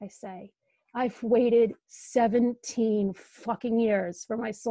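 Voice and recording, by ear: A natural voice reads aloud, keeping its intonation fairly even. Behind it, the background is quiet.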